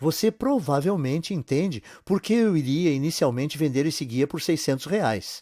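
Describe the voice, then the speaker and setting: At a moderate pace and with hardly any pauses, a man with a fairly high pitch and a dark, mellow tone speaks with lively intonation, the recording very clean, silent in the background, and dry and close with no echo. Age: 50s. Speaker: sales narrator. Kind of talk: sales pitch.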